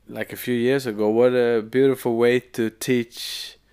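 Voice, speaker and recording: On a very clean recording with a silent background, a man with a Swedish accent speaks at a medium pitch and a fairly slow pace in a monotone, flat intonation. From Sweden. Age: 30s. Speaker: musician. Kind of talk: casual chat. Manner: halting.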